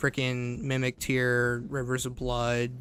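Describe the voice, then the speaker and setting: This is a man speaking. His pitch is medium for a man. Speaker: gaming streamer. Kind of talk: live gameplay commentary. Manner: loud.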